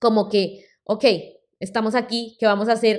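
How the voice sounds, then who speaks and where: An ordinary speaking voice from a woman at a moderate pace. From Colombia. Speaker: podcast host and healthy-recipe creator. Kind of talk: personal storytelling monologue.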